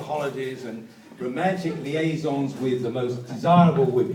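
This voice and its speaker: A man speaks at a moderate pace with a fairly high pitch. There is audible room echo and noticeable background noise. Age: 70s. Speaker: birthday celebrant. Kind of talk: celebration speech. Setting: restaurant with guests.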